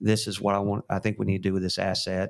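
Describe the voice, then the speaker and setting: A man talks at a fairly low pitch in a monotone, flat intonation. The recording is very clean, with a silent background. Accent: Texan. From West Texas. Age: 50s. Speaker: real estate company founder and CEO. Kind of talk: interview. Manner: frequent fillers and restarts.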